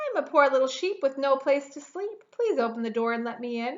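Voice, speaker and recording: Using a put-on character voice, a woman talks in a high pitch at a fairly quick pace. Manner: deceitful, pleading.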